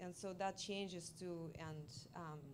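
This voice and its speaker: A woman with a Russian accent and ordinary pitch variation. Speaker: multimedia artist. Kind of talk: artist talk Q&A. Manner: halting.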